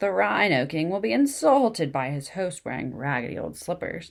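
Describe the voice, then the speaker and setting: A croaky put-on character voice at middle pitch moves at a moderate pace in a very clean recording with a silent background. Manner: gossipy, indignant.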